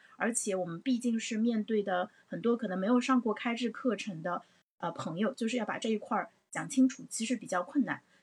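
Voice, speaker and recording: A woman talks at a fairly quick pace with an animated tone. Her pitch sits fairly high, with ordinary pitch variation. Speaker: livestream host. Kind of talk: livestream discussion. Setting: livestream.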